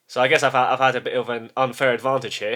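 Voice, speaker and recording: The recording is very clean, with a silent background. A man speaks with a British accent at a medium pitch. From UK, Polish family. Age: 30s. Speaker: YouTuber. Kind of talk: casual monologue. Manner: halting, many repetitions and false starts.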